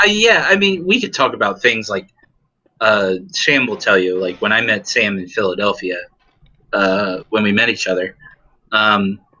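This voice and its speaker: A man with an American accent at a moderate pace, broken by long, frequent pauses. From US Midwest, Dayton, Ohio. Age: 30s. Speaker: mental health worker. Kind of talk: casual chat. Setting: gaming podcast recording. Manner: halting.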